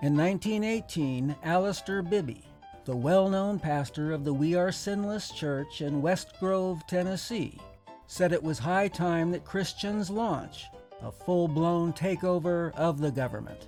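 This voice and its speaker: A man's high voice at a fairly slow pace, with ordinary pitch variation and music in the background. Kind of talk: mock historical documentary narration.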